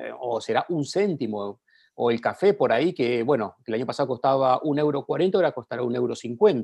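A man with a normal speaking voice talks at a moderate pace and medium pitch with lively intonation. The sound is dry and close with no echo over a quiet background. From Argentina. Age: 40s. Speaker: journalist. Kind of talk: casual interview.

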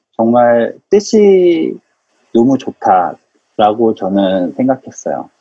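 A man talks at a very slow pace with a medium pitch. His pitch swings very widely. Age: 30s. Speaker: startup engineer. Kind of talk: casual interview chat.

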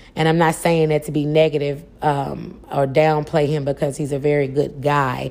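Moderate pace, monotone, flat intonation, and hardly any pauses. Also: woman, very deep, low pitch for a woman. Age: 40s. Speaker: podcast host. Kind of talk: solo podcast monologue.

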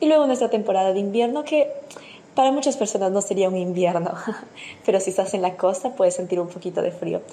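A woman's medium-pitched voice at a very fast pace, lively intonation, and noticeable background noise. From Peru. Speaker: listener sending voice message. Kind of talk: recorded voice message.

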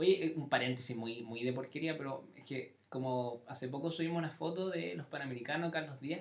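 This man talks at a fairly quick clip with hardly any pauses, his pitch fairly high and ordinary in its variation. Noticeable background noise runs under his voice. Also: big swings in loudness. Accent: Chilean. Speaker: podcast host. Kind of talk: casual chat. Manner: animated.

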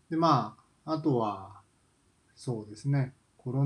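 The man's voice comes out somewhat breathy. He talks very slowly. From Kansai, Japan. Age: 40s. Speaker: podcaster, office worker. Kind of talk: solo casual monologue. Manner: hesitant, many fillers.

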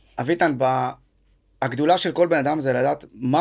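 The speech moves at a moderate pace. It is a very clean recording with a silent background. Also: man. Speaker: podcast host, fitness school owner. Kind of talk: casual interview chat.

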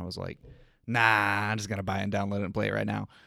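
A man speaks in a fairly low pitch with a bright, sharp tone and monotone, flat intonation. The recording is very clean, with a silent background. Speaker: guest co-host. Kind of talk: casual chat. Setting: studio.

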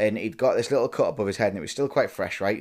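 A man with a northern English accent on a very clean recording against a silent background. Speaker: podcast host. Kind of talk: casual chat between spouses. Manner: casual, swears often.

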